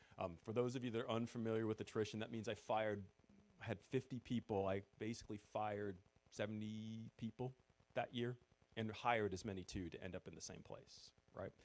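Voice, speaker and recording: A man speaks with a New England accent. His pitch is fairly low and his intonation fairly even. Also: fairly quick pace. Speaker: former retail store manager, event speaker. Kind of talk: presentation to audience.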